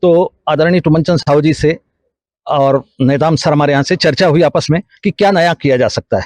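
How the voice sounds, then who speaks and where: In a normal speaking voice, a man talks at a moderate pace, his fairly high pitch carrying fairly even intonation. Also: dry, close sound with no echo. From Chhattisgarh, India. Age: 60s. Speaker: education institute staff. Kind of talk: interview.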